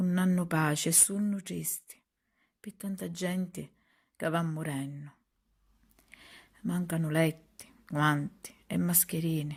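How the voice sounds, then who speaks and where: A very slow, solemn, somewhat breathy delivery in a Sicilian accent, with fairly even intonation and long, frequent pauses. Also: woman, fairly low pitch for a woman. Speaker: poet. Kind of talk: poetry reading. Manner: emotional, solemn.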